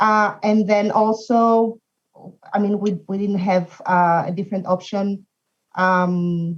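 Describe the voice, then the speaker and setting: Very slow, somewhat breathy speech in a non-native accent, with ordinary pitch variation. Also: woman. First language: not English. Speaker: language industry professional. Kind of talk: casual chat. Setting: video call. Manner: mumbling.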